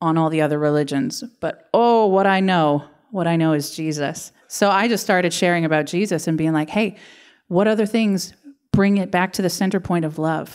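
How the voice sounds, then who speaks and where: A woman with a fairly low voice speaks at a moderate pace with ordinary pitch variation. The background is quiet. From Canada. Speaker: pastor. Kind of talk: sermon. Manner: animated. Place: church. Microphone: handheld.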